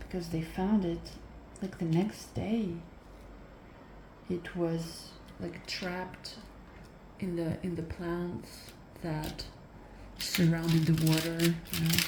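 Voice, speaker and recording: Soft-spoken, monotone delivery at a very slow pace, with long, frequent pauses and flat intonation. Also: woman, fairly low pitch for a woman. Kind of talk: ASMR soft-spoken rambling while crafting; casual storytelling.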